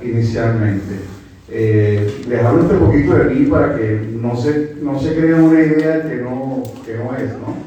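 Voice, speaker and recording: Noticeable background noise and audible room echo surround a man with a Venezuelan accent. He speaks at a fairly slow pace, with medium pitch and ordinary pitch variation. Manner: halting.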